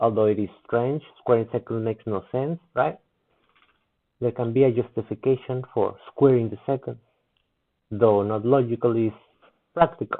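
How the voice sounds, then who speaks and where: A man speaks at a medium pitch and moderate pace, with ordinary pitch variation. He takes long, frequent pauses. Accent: non-native. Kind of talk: physics explanation video, response commentary.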